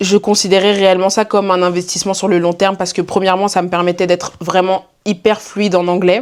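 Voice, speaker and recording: This woman has a medium pitch. She speaks at a very fast pace. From Belgium. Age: 20s. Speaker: student and content creator. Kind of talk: casual vlog Q&A. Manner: animated.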